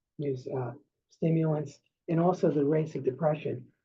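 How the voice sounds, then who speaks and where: A man with a New York accent talks at a fairly quick pace. His pitch is fairly high and his intonation fairly even. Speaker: psychiatrist. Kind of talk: lecture. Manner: halting.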